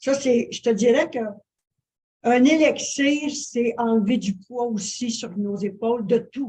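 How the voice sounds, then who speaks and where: A woman's fairly high, somewhat breathy voice with a dark, mellow tone, a very slow pace, and ordinary pitch variation. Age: 70s. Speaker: interview guest, wellness influencer. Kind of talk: interview. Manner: halting, many fillers.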